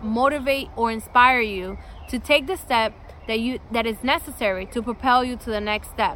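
A woman talks at a moderate pace in a high voice with ordinary pitch variation. Noticeable background noise can be heard. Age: 30s. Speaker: podcast host and lifestyle vlogger. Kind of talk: scripted introduction monologue.

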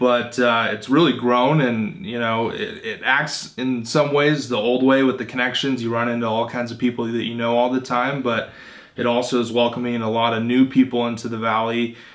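With an American accent and a medium pitch, a man talks at a moderate pace in a flat monotone, hardly pausing at all. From Phoenix, Arizona. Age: 20s. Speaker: podcast host interviewing entrepreneurs. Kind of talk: interview.

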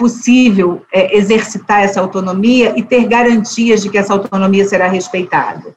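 With hardly any pauses, this plain, everyday voice moves at a moderate pace with ordinary pitch variation. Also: woman. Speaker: judge and author. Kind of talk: interview conversation.

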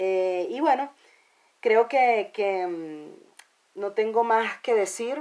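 Speaking with a Venezuelan accent, a woman uses lively intonation. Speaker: podcast host and musician. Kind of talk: spoken intro; casual chat.

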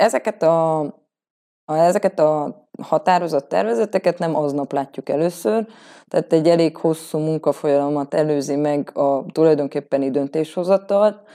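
A woman with a very deep, low pitch and a dark, mellow tone speaks at a moderate pace with ordinary pitch variation. The very clean recording has a silent background and a dry, close sound with no echo. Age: 30s. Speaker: local councillor and lawyer. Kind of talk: interview. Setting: on location.

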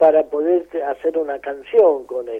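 At a very slow pace, a man speaks with a high pitch and fairly even intonation. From Argentina, Mendoza (San Rafael). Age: 80s+. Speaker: folk musician. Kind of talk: interview.

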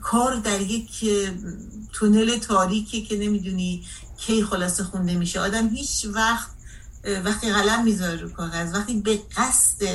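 In a room with audible echo, a woman speaks at a moderate pace and medium pitch, her intonation fairly even. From Iran, Caspian coast. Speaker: translator and civil activist. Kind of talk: radio interview.

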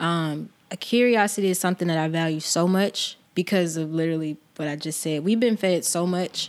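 A woman with an American accent has an ordinary speaking voice, fairly low in pitch, with fairly even intonation at a moderate pace. The recording is very clean, with a silent background. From US South, Georgia. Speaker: photographer. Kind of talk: casual chat.

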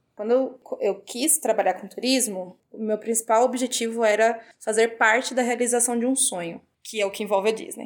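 This woman has a normal speaking voice with a fairly high pitch, fairly even intonation and a moderate pace. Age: 20s. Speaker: travel industry worker. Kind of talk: casual chat.

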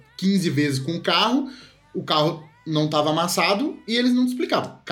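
A man's high-pitched voice with lively intonation, audible room echo and noticeable background noise. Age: 20s. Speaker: film podcast co-host. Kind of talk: casual chat.

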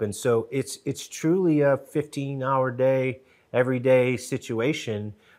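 A normal speaking voice with ordinary pitch variation, on a very clean recording with a silent background. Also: man. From Connecticut, New Haven. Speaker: TV show co-creator and producer. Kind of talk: casual interview chat. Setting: studio.

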